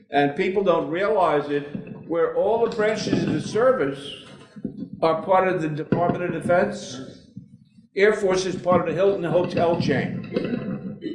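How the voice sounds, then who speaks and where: Amid noticeable background noise and audible room echo, a man talks fairly slowly in a high voice. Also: ordinary pitch variation. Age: 70s. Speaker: war veteran. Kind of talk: speech. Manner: animated.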